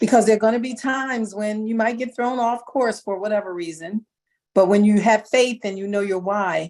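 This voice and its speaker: A woman with a normal speaking voice talks at a moderate pace and fairly high pitch, her intonation fairly even. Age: 60s. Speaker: model and actor talent. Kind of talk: motivational talk.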